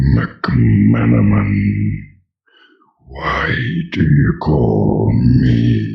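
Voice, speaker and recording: Growling in a put-on character voice, a man speaks with a very deep, low pitch and fairly even intonation at a very slow pace. His long, frequent pauses carry a slight echo. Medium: actual play. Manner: solemn, short-tempered.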